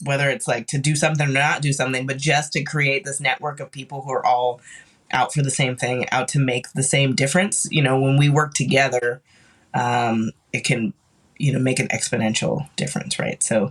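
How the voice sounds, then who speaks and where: A man talks at a fairly quick pace in a plain, everyday voice. His pitch is fairly high and his intonation fairly even. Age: 40s. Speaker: mourning doula and former funeral worker. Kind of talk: casual chat.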